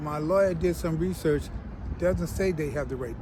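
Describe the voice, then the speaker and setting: Clear noise runs through the background. Over it, a man speaks at an average speed. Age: 70s. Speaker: retired police chief. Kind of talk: interview. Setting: outdoors.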